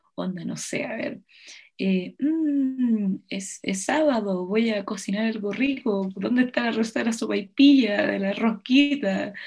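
Somewhat breathy, a woman speaks at a fairly slow pace. Her pitch is fairly high, with ordinary variation. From Chile. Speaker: podcast host. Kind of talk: casual chat.

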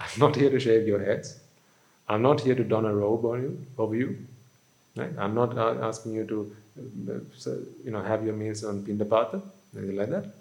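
A medium-pitched man's voice with vocal fry, ordinary pitch variation, a moderate pace, long, frequent pauses and audible room echo. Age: 30s. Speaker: Buddhist monk. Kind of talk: sermon. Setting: hall with live audience.

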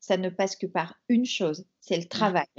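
A woman speaking at a very slow pace. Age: 40s. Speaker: entrepreneur. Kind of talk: interview. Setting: remote call.

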